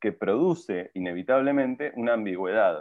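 In a plain, everyday voice, a man speaks at a medium pitch and moderate pace with lively intonation. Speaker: film director. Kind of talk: casual interview chat.

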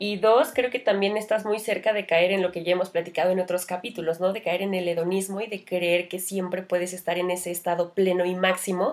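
A woman's medium-pitched voice at a fairly quick pace, fairly even intonation and hardly any pauses, over noticeable background noise. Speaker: podcast co-host. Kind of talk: casual chat.

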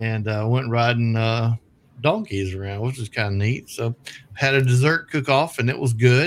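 A man talks at a moderate pace. He has a Southern US accent. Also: medium pitch for a man, ordinary pitch variation. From US South. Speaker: radio show host. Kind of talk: casual chat.

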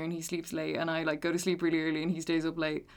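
A woman with an Irish accent talks at a very fast pace and fairly low pitch, recorded very cleanly against a silent background. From Ireland. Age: 20s. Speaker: podcast guest. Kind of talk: casual chat.

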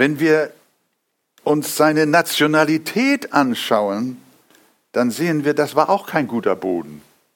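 A man's fairly high voice at a very slow pace, with long, frequent pauses, in a very clean recording with a silent background. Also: lively intonation. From Hamburg, northern Germany. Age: 70s. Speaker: pastor. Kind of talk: sermon.

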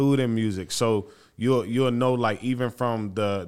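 On a very clean recording with a silent background, a man with an ordinary speaking voice talks at a fairly slow pace with fairly even intonation. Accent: American. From Florida, Haitian family. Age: 30s. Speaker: theology-trained community worker. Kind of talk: casual interview.

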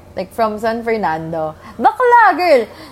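A woman speaks with a Filipino accent and very wide pitch swings. Background noise is noticeable. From Philippines, Angeles. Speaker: podcast co-host. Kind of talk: casual chat.

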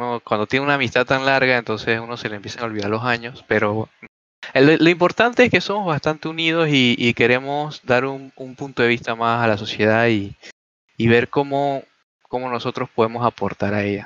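A man with a medium pitch speaks at a fairly quick pace in a normal speaking voice. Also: ordinary pitch variation, dry, close sound with no echo. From Panama. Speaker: podcast co-host, software student. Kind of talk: casual chat.

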